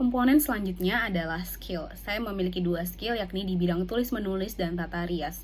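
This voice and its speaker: Audible room echo surrounds a woman talking at a moderate pace, her medium pitch showing ordinary variation. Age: 20s. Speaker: university student. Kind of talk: scripted self-presentation. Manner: formal.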